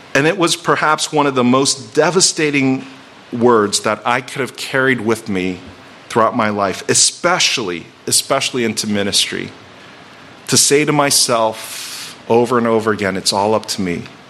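Ordinary pitch variation runs through the speech, with noticeable background noise behind it. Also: man, medium pitch for a man, moderate pace. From Virginia. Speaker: pastor. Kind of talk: sermon.

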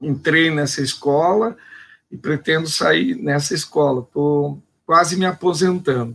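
Slowly and fairly deliberately, a man with a plain, everyday voice speaks at a fairly high pitch with ordinary pitch variation. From Brazil, São Paulo state interior. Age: 50s. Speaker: teacher and philosopher. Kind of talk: panel discussion. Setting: live online stream.

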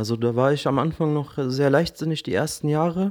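In a very clean recording with a silent background, a man talks at a moderate pace. He has an ordinary speaking voice, fairly high in pitch, with lively intonation. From Berlin, Germany. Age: 30s. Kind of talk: casual chat.

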